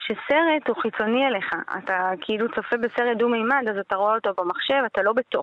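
In a normal speaking voice, a woman talks at a fairly quick pace and a fairly high pitch, with ordinary pitch variation and hardly any pauses. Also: very even loudness. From Israel. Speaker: filmmaker and entrepreneur. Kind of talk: radio interview.

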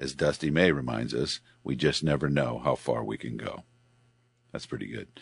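At a moderate pace and with long, frequent pauses, a man speaks in a very deep, low pitch with vocal fry and ordinary pitch variation. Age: 60s. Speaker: radio host. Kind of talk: casual chat.

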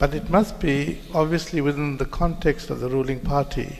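Noticeable background noise runs behind a man speaking at a fairly quick pace. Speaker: politician. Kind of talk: panel discussion.

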